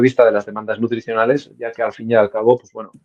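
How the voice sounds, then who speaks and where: A man with a Navarrese accent, in a dry, close sound with no echo. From Navarre, Spain (Estella). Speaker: sports nutritionist. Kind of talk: interview. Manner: hesitant, many fillers.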